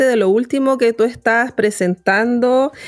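Ordinary pitch variation in a woman's high voice. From Chile, born in Temuco, moved to Santiago around 9. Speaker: radio host, journalist. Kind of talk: radio interview.

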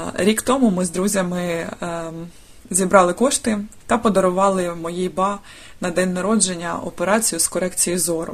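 A mid-pitched woman speaks at a fairly slow pace with ordinary pitch variation. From Dnipro, Ukraine. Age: 30s. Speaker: volunteer. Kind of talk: recorded testimony.

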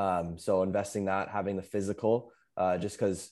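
In a very clean recording with a silent background, a man speaks in a normal speaking voice, fairly low in pitch. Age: 20s. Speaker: window cleaning business operator. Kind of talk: casual interview chat.

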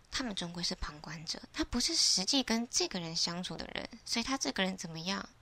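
A woman's normal speaking voice, medium in pitch, with lively intonation at a moderate pace. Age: 20s. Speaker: podcaster. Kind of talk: solo reflective monologue.

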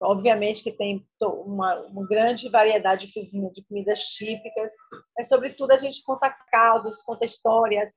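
Using an unremarkable speaking voice, a woman talks at a moderate pace and a fairly high pitch, her intonation fairly even and her loudness swinging widely. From Bahia, Brazil (rural interior). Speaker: chef and restaurant owner. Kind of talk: interview.

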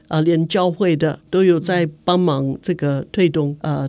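A woman with an English accent speaks at a moderate pace in a very deep, low pitch, her dark, mellow tone held in a flat monotone. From United States. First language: English (speaking Chinese). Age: 70s. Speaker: human rights activist. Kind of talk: interview. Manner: halting, many fillers.

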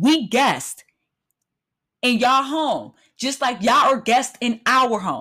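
With an animated, bright, sharp tone, a woman speaks at a high pitch and fairly slow pace, using ordinary pitch variation and long, frequent pauses. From United States. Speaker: podcast host. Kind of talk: solo monologue rant.

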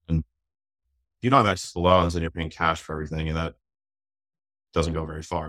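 Very deep and low yet bright and sharp in tone, a man speaks at a very fast pace with fairly even intonation and long, frequent pauses, on a very clean recording with a silent background and a dry, close sound with no echo. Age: 40s. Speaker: real estate investor. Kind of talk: casual interview. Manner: relaxed.

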